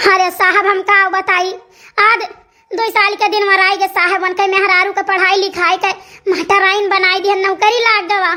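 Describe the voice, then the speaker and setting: A woman uses a cartoonish character voice with an extremely high pitch, at a moderate pace. Her loudness stays very even and her intonation is monotone and flat. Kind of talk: comic cartoon dialogue. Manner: repetitive, rambling.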